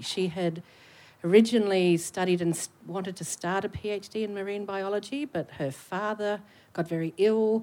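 At a moderate pace, this voice carries a dark, mellow tone. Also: woman. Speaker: academic researcher. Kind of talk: public panel conversation. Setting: stage with audience.

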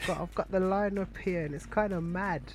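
The speech moves at a fairly quick pace. Intonation stays fairly even. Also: man, high pitch for a man.

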